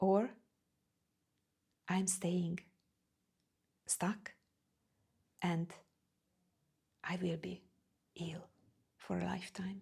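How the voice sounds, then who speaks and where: A woman talks at a very slow pace in a non-native accent, with vocal fry. Her intonation is monotone and flat, and she leaves long, frequent pauses. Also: fairly low pitch for a woman. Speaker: spiritual coach. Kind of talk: personal vlog talk. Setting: standing in front of camera. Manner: halting.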